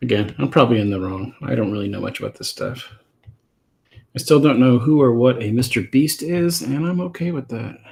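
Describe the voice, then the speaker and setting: The voice is somewhat breathy. It moves at a fairly quick pace with lively intonation. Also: man, medium pitch for a man. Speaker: comic artist and streamer. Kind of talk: casual live stream chat while drawing. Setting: live stream at drawing desk. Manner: soft-spoken; halting, many fillers and repeats.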